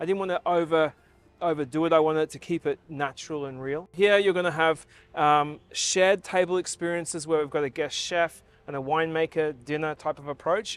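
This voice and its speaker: In an Australian accent, a man with a fairly high voice talks fairly quickly with fairly even intonation, the sound dry and close with no echo. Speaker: hotel general manager. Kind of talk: interview answer.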